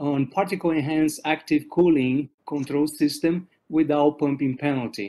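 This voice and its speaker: A man with a Portuguese accent talks at a moderate pace, his fairly high pitch showing ordinary variation. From Brazil. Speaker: professor. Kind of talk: lecture. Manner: halting.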